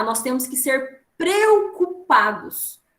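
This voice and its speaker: Lively intonation marks this woman's speech. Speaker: trainer. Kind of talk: online training talk.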